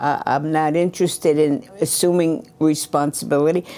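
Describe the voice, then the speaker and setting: Speaking at a fairly slow pace, a woman with a New York accent has a dark, mellow tone. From New York, Brooklyn. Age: 80s+. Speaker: retired local government administrator. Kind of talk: interview. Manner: outspoken.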